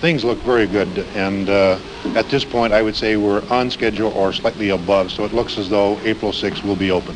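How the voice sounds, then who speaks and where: A man with a fairly low pitch and fairly even intonation at a fairly quick pace, over noticeable background noise. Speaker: school principal. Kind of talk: on-scene interview answers. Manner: hesitant, fillers, earnest.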